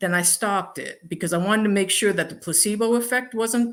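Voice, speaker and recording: On a very clean recording with a silent background, a woman speaks in a normal speaking voice at a moderate pace. Her pitch is medium, with ordinary pitch variation. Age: 60s. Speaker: alternative medicine practitioner and coach. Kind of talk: interview.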